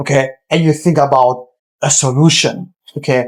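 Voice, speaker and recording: A man talks with a non-native accent. His pitch is fairly high and his intonation fairly even. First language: not English. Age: 20s. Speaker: entrepreneur, agency owner. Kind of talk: casual business advice talk. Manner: direct, informal.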